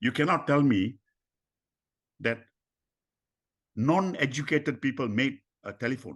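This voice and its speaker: Against a quiet background, a man talks at a medium pitch with vocal fry. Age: 80s+. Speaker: mentor and personal development speaker. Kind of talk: podcast interview. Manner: animated.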